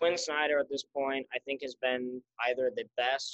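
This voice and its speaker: The man has a normal speaking voice at a medium pitch, talking at a moderate pace with fairly even intonation in a dry, close sound with no echo. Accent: American. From Utah, Salt Lake City. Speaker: student and social media sports page owner. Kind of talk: casual chat.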